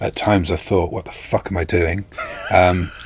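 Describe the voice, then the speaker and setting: Amid noticeable background noise, a man with a very deep, low pitch speaks at a moderate pace in a monotone, flat intonation. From England, Northampton (East Midlands). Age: 60s. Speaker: guitarist. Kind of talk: casual interview chat.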